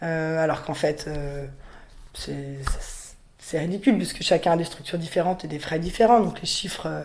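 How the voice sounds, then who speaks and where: This woman talks at a moderate speed in a very deep, low voice. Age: 20s. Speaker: riding school owner, young farmer. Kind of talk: interview testimony. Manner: hesitant, many fillers.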